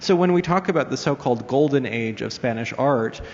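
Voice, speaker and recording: A man speaks fairly quickly, with noticeable noise in the background. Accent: American. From US, New York. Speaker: art museum curator. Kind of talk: panel presentation with slides. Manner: hesitant, many fillers.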